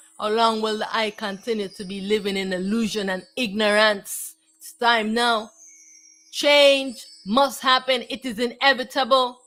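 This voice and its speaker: Music plays in the background as a woman talks at a fairly slow pace. Her intonation is fairly even, but her loudness swings widely. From Jamaica. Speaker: spiritual teacher. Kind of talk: spiritual talk. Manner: halting, repeats words.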